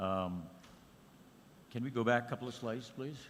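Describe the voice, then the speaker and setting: The speaker is a man with an American accent. Room echo can be heard clearly. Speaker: conference speaker, academic. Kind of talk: conference presentation.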